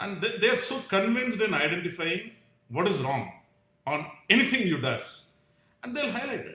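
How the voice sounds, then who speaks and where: A man's raised, projected voice, high in pitch and in an Indian accent, at a moderate pace with long, frequent pauses and audible room echo. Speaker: vlogger sharing personal views. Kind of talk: live stream monologue. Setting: live stream. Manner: halting, many fillers.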